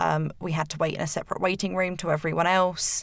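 The speaker has an English accent and vocal fry. The intonation is flat and monotone. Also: woman. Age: 20s. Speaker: cancer patient guest. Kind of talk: interview. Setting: studio.

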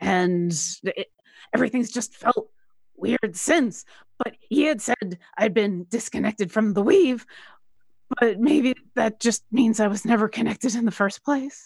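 A woman's put-on character voice, raspy and fairly high-pitched, with ordinary pitch variation, a moderate pace and a dry, close sound with no echo. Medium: actual play. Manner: hesitant, halting.

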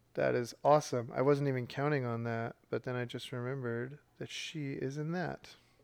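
At a moderate pace and medium pitch, a man with an unremarkable speaking voice and fairly even intonation talks with hardly any pauses in a very clean recording with a silent background. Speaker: podcast host. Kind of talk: casual chat, game show banter.

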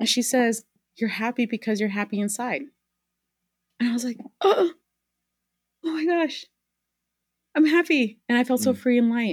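A woman speaks at a moderate pace in a high voice with ordinary pitch variation. Her pauses are long and frequent. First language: Spanish. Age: 30s. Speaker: community advocate and parenting co-founder. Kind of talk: casual interview conversation.

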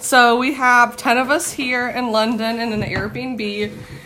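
A woman speaks with a fairly high pitch. Noticeable background noise runs behind her. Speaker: podcast host. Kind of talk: casual chat. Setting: Airbnb in London.

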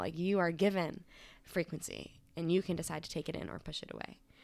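A woman talks at a very fast pace. Her fairly low voice carries vocal fry. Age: 20s. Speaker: energy healer. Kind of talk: casual chat. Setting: in person at a kitchen table.

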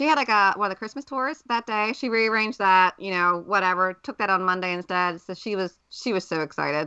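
At a fairly quick pace, a woman with a medium pitch and ordinary pitch variation speaks in a normal speaking voice. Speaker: recreational runner and podcast co-host. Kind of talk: casual chat.

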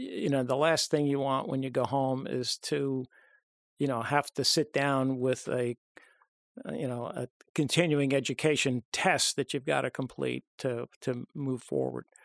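An unremarkable speaking voice moves at a fairly slow pace with fairly even intonation, recorded very cleanly, dry and close with no echo, over a silent background. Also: man, medium pitch for a man. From US Northeast, Long Island, New York. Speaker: medical professor. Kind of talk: interview. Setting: studio.

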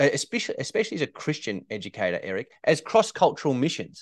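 With an Australian accent, a man speaks in a quiet background. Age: 30s. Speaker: teacher and ed-tech founder. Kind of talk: interview conversation.

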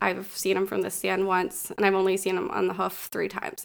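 In a very clean recording with a silent background, a woman with an American accent speaks at a fairly quick pace, her medium-pitched voice bright and sharp in tone. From northwestern Pennsylvania. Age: 30s. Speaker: deer hunter. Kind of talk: casual storytelling chat.

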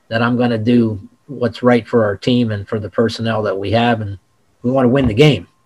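Delivered at a moderate pace with fairly even intonation, this is a plain, everyday voice with an American accent. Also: man. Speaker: football coach. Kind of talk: interview.

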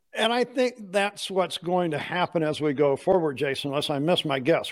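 This is an unremarkable speaking voice from a man, fairly high in pitch. He goes at a fairly slow pace. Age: 60s. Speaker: podcast host. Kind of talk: casual interview chat. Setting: classroom, video call.

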